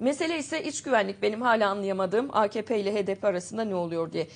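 With lively intonation and a fairly high pitch, a woman speaks in a plain, everyday voice. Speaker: TV show host. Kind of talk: news show, reading headlines and interviewing. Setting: studio. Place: studio.

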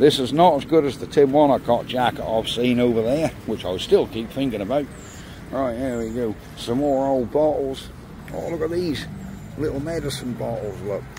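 A man speaks in a relaxed tone, the sound dry with no echo, over noticeable background noise. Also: ordinary pitch variation, moderate pace. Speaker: video creator walking round a market. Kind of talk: casual walk-around commentary, vlog. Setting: outdoors at an auction, filming. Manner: chatty, relaxed, rattling off lot lists. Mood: cheerful, enthusiastic. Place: market. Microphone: phone near.

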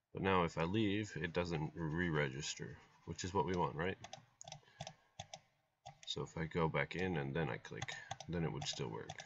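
A man talks with a very deep, low pitch and ordinary pitch variation. His pace is moderate, broken by long, frequent pauses. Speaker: programming tutorial host. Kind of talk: screen-share coding tutorial. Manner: casual, hesitant.

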